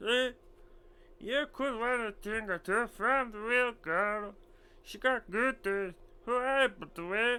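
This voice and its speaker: A put-on character voice with a fairly high pitch moves at a fairly slow pace, with long, frequent pauses. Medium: game stream. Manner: wheedling, haggling.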